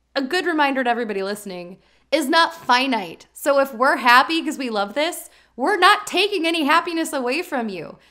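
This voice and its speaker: Projecting a raised voice, a woman speaks at a fairly quick pace in a high pitch with a bright, sharp tone and very wide pitch swings, on a very clean recording with a silent background. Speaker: podcast co-host. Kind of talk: casual chat. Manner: fast when excited; stumbles over words.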